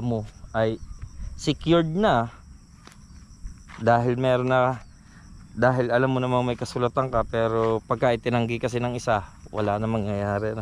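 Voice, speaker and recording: With fairly even intonation and a medium pitch, a man talks at a moderate pace, leaving long, frequent pauses. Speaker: vlogger. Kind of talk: personal vlog testimony. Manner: usually loud, raised voice.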